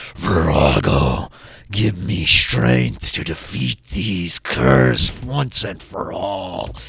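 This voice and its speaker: A man speaks in a put-on character voice, very deep and low, at a very slow pace. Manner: growling.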